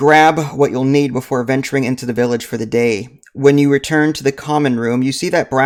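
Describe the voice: The clip is plain reading aloud in fairly even intonation.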